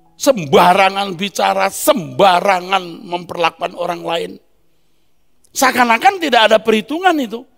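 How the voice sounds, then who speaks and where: A high-pitched male voice at a moderate pace, with lively intonation. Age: 60s. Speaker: preacher. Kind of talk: sermon.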